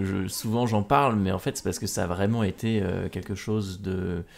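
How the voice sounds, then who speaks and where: The man's voice sits at a fairly low pitch and has fairly even intonation. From France, Normandy. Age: 20s. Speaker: adventurer and speaker. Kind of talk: podcast interview. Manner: hesitant, many repetitions and fillers.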